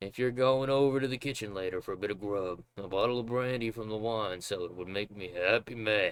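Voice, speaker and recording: Putting on a rumbling character voice, a man talks at a fairly quick pace with hardly any pauses, at a fairly low pitch and with ordinary pitch variation. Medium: game stream. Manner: grumbling, conspiratorial.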